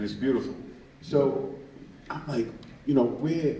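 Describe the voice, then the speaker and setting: A man talks at a moderate pace while audible echo fills the room. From Brooklyn, New York (Bed-Stuy). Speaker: activist, founder of an organization. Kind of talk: public talk.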